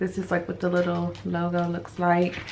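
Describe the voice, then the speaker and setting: A woman speaks quietly with a fairly low pitch. Audible room echo and noticeable background noise surround her voice. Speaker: vlogger. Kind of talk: casual vlog. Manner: quiet, lowered voice.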